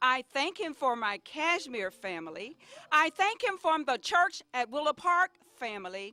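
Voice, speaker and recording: A woman with a high voice speaks at a moderate pace, raised and projected, her pitch swinging very widely in a dry, close recording with no echo. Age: 60s. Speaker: senior center member. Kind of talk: birthday greeting.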